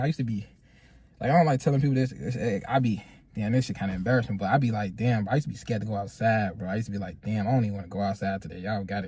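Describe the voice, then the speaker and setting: A man talks very fast in a fairly low, dark, mellow voice that is somewhat breathy. His pitch varies in an ordinary way. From Chicago. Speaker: podcast co-host. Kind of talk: casual chat. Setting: in a car.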